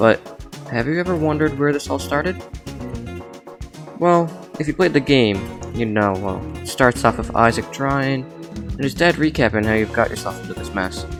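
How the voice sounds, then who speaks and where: A man with a medium pitch talks at a moderate pace, his pitch swinging very widely and his speech broken by long, frequent pauses. Music plays behind him. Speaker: gaming video essayist. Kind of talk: video essay narration. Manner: reading off a script, awkward.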